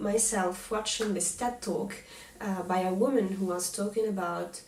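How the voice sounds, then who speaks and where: A woman at medium pitch and moderate pace with fairly even intonation, amid noticeable background noise and audible room echo. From Tunisia. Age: 30s. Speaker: knitting podcaster. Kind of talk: casual chat. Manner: halting, many fillers and restarts.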